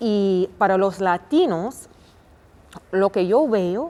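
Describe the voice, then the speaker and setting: At a very slow pace, a woman with an American accent speaks at a medium pitch with lively intonation. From United States. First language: English (speaking Spanish). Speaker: family doctor. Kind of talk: interview. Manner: halting, many fillers.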